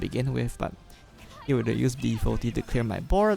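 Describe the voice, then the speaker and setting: The speaker is soft-spoken. Music plays in the background. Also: man. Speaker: gaming youtuber. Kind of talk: gameplay commentary. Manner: hesitant, many fillers.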